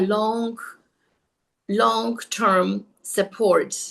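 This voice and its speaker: A woman talks with a non-native accent. Her pitch is fairly high. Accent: foreign. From outside the US. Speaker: network marketing presenter. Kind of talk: video call presentation.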